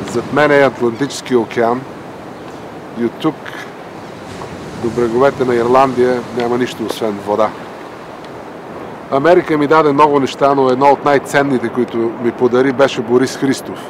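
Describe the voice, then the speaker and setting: Amid noticeable background noise, the speech runs at a fairly quick pace with fairly even intonation and long, frequent pauses. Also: man, medium pitch for a man. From Bulgaria. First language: Bulgarian. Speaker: doctor and writer, dissident. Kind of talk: documentary narration. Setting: outdoors on a boardwalk by the ocean.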